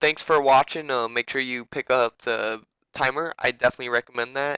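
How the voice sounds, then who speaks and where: Over a very clean recording with a silent background, a man talks at a fairly quick pace in a bright, sharp, monotone and flat voice, with a dry, close sound and no echo. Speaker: gaming coach. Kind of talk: casual game review tutorial. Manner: casual, rambling with fillers.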